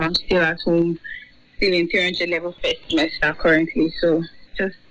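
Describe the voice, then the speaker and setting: Over noticeable background noise, a woman with a fairly low voice talks at a moderate pace. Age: 20s. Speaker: university student. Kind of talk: interview.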